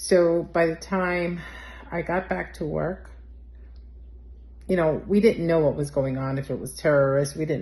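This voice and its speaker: In a New York accent, a woman with a fairly low pitch speaks at a moderate pace, her dark, mellow tone somewhat breathy and her pitch varying in an ordinary way. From New York City. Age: 60s. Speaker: eyewitness. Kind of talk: testimony. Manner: conversational with frequent fillers.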